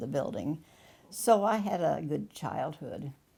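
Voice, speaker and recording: In an American accent, a woman speaks with a dark, mellow tone and vocal fry. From US small town. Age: 90s. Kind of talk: interview testimony. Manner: halting.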